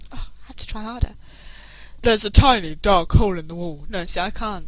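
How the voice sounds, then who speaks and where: The speaker uses very wide pitch swings at a moderate pace. Music plays in the background. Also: woman. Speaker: let's play gamer. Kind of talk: game playthrough commentary. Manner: playful, joking.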